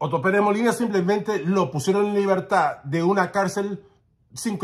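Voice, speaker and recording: A man with a high pitch talks at a fairly quick pace in an animated tone. The background is quiet. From not Guatemala. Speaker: political commentator. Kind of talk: opinion monologue. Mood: indignant, defiant. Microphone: phone near.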